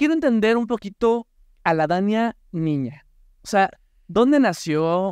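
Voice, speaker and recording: At a fairly slow pace with long, frequent pauses, a man speaks in a high pitch, the sound dry with no echo. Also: lively intonation, quiet background. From Mexico. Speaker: podcast host. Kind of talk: casual chat. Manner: animated. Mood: warm, curious. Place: studio. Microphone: studio mic.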